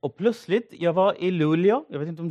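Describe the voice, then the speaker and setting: A man's high, dark and mellow voice with ordinary pitch variation, in a dry, close sound with no echo. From northeastern Syria, Assyrian village. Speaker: pastor. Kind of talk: sermon. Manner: halting.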